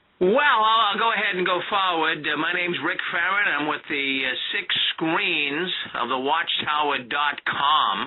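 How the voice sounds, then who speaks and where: Over noticeable background noise, a man with a high voice talks at a fairly slow pace with lively intonation. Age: 60s. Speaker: ex-Jehovah's Witness, radio program host. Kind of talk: radio interview, testimony.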